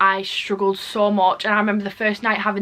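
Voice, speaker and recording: Speaking at a very fast pace, a woman with an English accent keeps a medium pitch and a monotone, flat intonation. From England. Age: young. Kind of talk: casual talk to camera.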